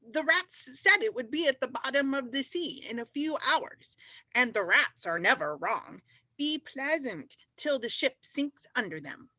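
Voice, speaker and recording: A female-sounding voice performs a put-on character voice at a high pitch. The pace is moderate. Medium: stage play.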